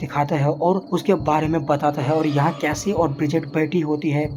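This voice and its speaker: Amid noticeable background noise, a man with a fairly high pitch speaks at a moderate pace in a monotone, flat intonation. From Uttar Pradesh, India. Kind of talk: movie recap narration.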